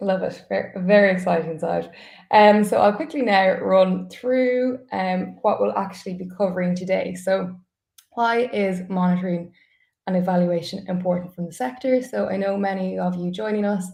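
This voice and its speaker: A woman speaks at a moderate pace in an Irish accent, her voice somewhat breathy and medium in pitch. Her pitch varies in an ordinary way. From Ireland. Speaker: customer support staff, webinar host. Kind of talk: webinar presentation. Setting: live online webinar.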